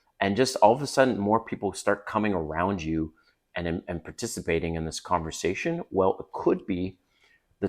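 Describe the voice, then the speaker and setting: Lively intonation and a slight Canadian accent come through on a very clean recording with a silent background. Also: man. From Canada. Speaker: dating coach youtuber. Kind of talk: casual advice vlog. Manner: conversational.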